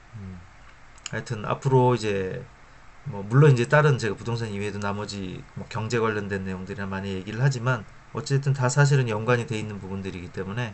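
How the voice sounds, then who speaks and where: Fairly quick speech from a man with a fairly low voice, ordinary pitch variation and big swings in loudness, with audible room echo. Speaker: finance YouTuber. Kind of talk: informal lecture to camera. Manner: hesitant, many fillers.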